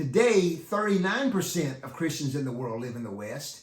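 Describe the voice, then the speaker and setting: Someone with an American accent talks with very wide pitch swings, and the room echo is audible. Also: man. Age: 60s. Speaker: youth ministry teacher and author. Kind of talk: talk to youth ministry leaders. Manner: halting.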